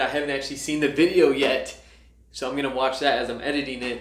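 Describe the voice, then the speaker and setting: This man races along at a very fast pace, with audible room echo and noticeable background noise in the recording. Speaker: entrepreneur vlogger. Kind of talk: vlog reading out speech feedback. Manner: enthusiastic.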